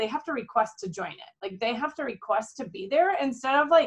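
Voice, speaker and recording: A woman speaks with a Minnesotan accent. Her intonation is lively. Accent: Minnesota. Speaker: direct sales executive. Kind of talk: team training call. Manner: casual, chatty.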